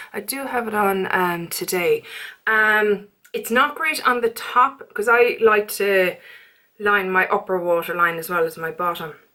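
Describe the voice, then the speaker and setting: Her bright, sharp tone rests at a medium pitch, and this woman's pitch varies in an ordinary way. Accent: Irish. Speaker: beauty vlogger. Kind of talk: casual chat. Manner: fast.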